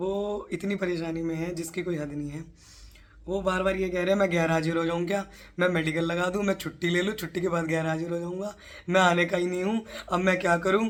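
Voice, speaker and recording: A woman talks at a moderate pace in a fairly low voice with monotone, flat intonation. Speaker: police sub-inspector, exam prep tutor. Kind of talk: motivational tutorial to camera.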